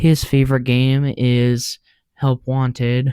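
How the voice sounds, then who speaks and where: A soft-spoken man talks at a very slow pace and medium pitch, with a dark, mellow tone. His intonation is monotone and flat, and the sound is dry and close with no echo. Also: very clean recording, silent background. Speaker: YouTuber. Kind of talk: casual commentary. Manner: hesitant.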